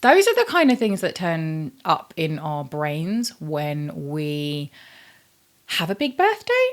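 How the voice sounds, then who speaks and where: A woman talks with a British accent. She speaks at a very slow pace. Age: 40s. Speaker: YouTuber. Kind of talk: casual vlog chat. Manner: chatty, filler-heavy.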